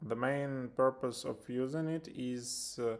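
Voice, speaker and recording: A man with a Ukrainian accent, very slow in pace, with fairly even intonation. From Ukraine. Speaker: software developer. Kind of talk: tutorial. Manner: halting, many filler sounds.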